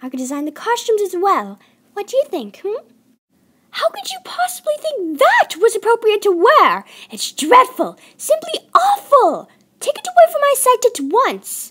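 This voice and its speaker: A woman's put-on character voice, extremely high-pitched, at a moderate pace. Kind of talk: fan voice-acting audition. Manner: posh, dramatic, drawn-out vowels.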